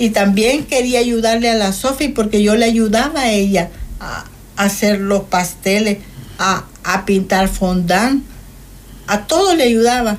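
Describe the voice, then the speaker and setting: Here is a woman with an unremarkable speaking voice at a fairly high pitch. Her pitch variation is ordinary and her pace fairly slow. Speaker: guest sharing life testimony. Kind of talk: testimony.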